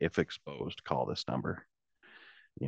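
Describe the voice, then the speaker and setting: A man with a Midwestern US accent and vocal fry, in a dry, close sound with no echo. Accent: US Midwest. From central Illinois. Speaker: towboat captain. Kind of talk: interview.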